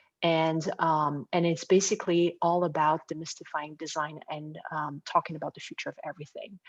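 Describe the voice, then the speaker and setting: A woman with a French accent speaks in a very deep, low pitch at a moderate pace, monotone and flat with hardly any pauses and big swings in loudness, in a dry, close sound with no echo. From France. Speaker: design firm co-founder. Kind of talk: interview.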